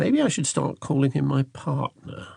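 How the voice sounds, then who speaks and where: Somewhat breathy, a man talks at a moderate pace. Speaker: audiobook narrator. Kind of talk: audiobook narration.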